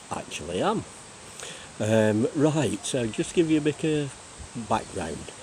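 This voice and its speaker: A man with an English accent, noticeable background noise. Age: 60s. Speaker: retired cyclist vlogger. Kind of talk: casual vlog monologue. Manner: hesitant, many fillers.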